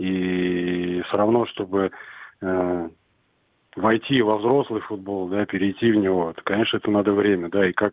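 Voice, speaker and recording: A man's somewhat low voice, monotone with flat intonation, at a medium speed. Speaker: youth football coach. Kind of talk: radio interview.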